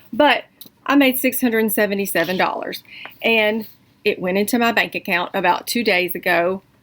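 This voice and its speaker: A woman speaks in a Southern US accent with ordinary pitch variation. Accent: Southern drawl. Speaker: online English tutor and vlogger. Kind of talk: casual vlog update. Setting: at home. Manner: animated.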